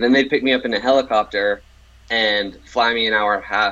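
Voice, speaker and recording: With an American accent, a man talks at a fairly quick pace and medium pitch. His tone is bright and sharp, with ordinary pitch variation. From Pittsburgh, Pennsylvania. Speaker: sales engineer, former offshore mudlogger. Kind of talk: interview.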